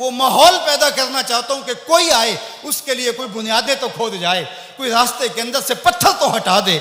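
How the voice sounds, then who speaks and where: A raised, projected voice with lively intonation comes through noticeable background noise. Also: man, extremely high pitch for a man. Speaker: Islamic preacher. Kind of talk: Islamic sermon (bayan).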